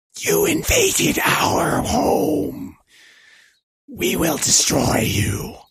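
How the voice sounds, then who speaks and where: Raspy and very slow, a man performs in a put-on character voice. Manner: menacing, threatening.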